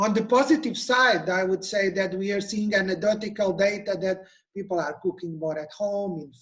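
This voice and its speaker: High pitch from a man, moderate pace, ordinary pitch variation. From Portugal. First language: Portuguese. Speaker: nutrition expert. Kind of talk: webinar presentation.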